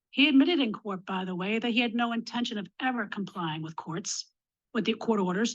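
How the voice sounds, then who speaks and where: With an American accent, a woman talks at a fairly quick pace in a fairly high, somewhat breathy voice. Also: lively intonation. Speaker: domestic violence survivor and advocate. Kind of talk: legislative testimony.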